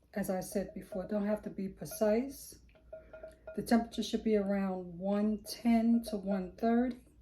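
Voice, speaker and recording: Music plays in the background as a woman talks at a moderate pace with fairly even intonation. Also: medium pitch for a woman. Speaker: soap-making lifestyle vlogger. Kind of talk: tutorial. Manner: casual.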